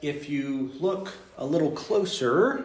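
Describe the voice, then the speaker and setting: A man with a Texas accent speaks at a fairly high pitch with lively intonation, over noticeable background noise and audible room echo. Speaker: teacher leading a study group. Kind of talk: informal group lesson. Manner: halting, many fillers.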